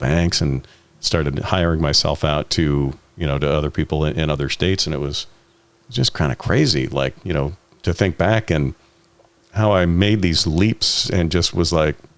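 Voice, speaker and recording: A man with a very deep, low pitch speaks at a moderate pace with ordinary pitch variation. Noticeable background noise is present. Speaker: voice actor. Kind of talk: interview answer.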